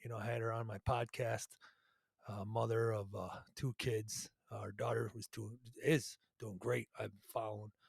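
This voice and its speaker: A man's fairly low, somewhat breathy voice at a moderate pace, flat and monotone, with long, frequent pauses and a dry, close sound free of echo. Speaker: podcast host with cancer. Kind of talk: casual monologue. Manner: halting, many fillers.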